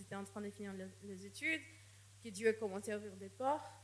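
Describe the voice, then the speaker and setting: Over noticeable background noise, a woman speaks with a non-native accent. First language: not French (speaking French). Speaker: missionary. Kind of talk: sermon. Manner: halting, with repetitions.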